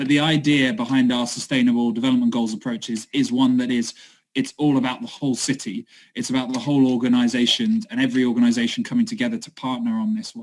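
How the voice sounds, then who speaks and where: A man talks at a very fast pace in a medium pitch, with ordinary pitch variation. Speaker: city sustainability project worker. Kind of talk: online talk presentation.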